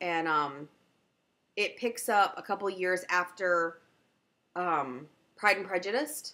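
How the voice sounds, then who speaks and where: A woman with a Southern US accent speaks in a medium pitch, her tone bright and sharp. Her intonation is lively, broken by long, frequent pauses. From US South. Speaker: knitting podcaster. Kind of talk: casual chat.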